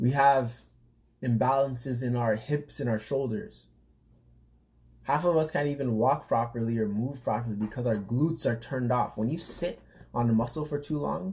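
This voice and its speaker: Against a quiet background, a man talks in a somewhat breathy voice. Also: medium pitch for a man, ordinary pitch variation, moderate pace. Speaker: fitness trainer and podcast host. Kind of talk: casual podcast talk.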